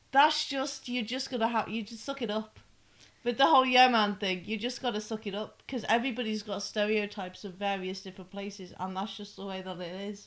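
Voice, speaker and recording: A northern English accent at a fairly quick pace, with big swings in loudness. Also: woman, fairly high pitch for a woman, ordinary pitch variation. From northern England (Manchester/Liverpool). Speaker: podcast co-host. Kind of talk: casual chat.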